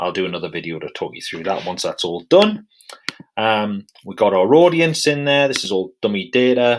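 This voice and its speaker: A British accent at a moderate pace. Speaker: software tutorial presenter. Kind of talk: tutorial. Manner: casual, with many fillers.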